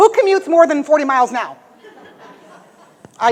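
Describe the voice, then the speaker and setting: A woman with an American accent speaks in an energetic tone at a fairly quick pace, her pitch swinging very widely. Noticeable background noise runs underneath. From US Midwest (Michigan). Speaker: motivational speaker. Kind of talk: motivational speech. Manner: fast, energetic.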